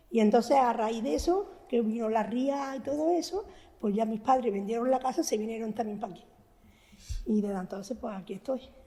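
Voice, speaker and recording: The delivery is fairly quick, with lively intonation. The tone is dark and mellow. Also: woman, fairly high pitch for a woman. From Andalusia, Antequera (Málaga). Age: 80s+. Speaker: elderly resident sharing memories. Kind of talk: oral history testimony.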